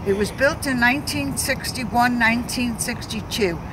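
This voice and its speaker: Fairly slow, fairly high-pitched speech from a woman, with audible room echo and noticeable background noise. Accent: New York. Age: 80s+. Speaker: community activist. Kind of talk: interview. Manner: halting.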